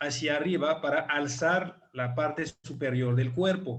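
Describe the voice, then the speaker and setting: A man with a French-African accent talks at a very slow pace, his pitch varying in an ordinary way. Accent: foreign (French-African) accent in Spanish. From France / Africa (half French, half African). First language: French (speaking Spanish). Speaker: chiropractor. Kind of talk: online presentation / lecture. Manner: hesitant, many fillers.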